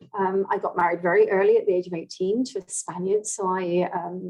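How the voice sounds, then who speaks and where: A woman with a British accent talks at a moderate pace with ordinary pitch variation. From England. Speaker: language coaching director. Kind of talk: interview.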